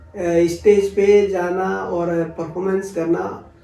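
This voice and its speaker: A man's high-pitched voice with fairly even intonation over noticeable background noise. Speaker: folk singer. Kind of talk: interview conversation. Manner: halting, many fillers.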